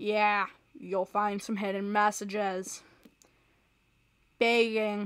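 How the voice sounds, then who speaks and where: Deadpan and very slow, the speech keeps fairly even intonation on a very clean recording with a silent background. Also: woman. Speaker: gaming youtuber. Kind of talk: gameplay commentary. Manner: monotone.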